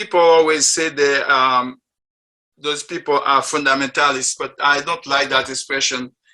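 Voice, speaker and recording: A man with a French accent, bright and sharp in tone, fairly high in pitch, fairly even in intonation and fairly slow in pace. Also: long, frequent pauses. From Haiti. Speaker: interfaith group member sharing faith story. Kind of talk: personal testimony talk. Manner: halting, with many fillers.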